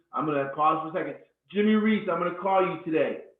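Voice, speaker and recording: Pitch moves in an ordinary way here. The voice is a man's. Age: 50s. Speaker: network marketing presenter. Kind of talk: live webinar sales presentation. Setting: live webinar. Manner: deliberately slowed down.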